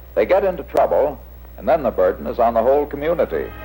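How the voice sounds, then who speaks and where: Here a man speaks at a moderate pace. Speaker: juvenile court official.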